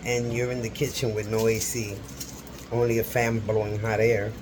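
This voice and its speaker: Whispering, a man is heard with audible room echo and noticeable background noise. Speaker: cooking vlogger. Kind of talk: casual cooking tutorial. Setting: home kitchen. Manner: whispering a little; chatty.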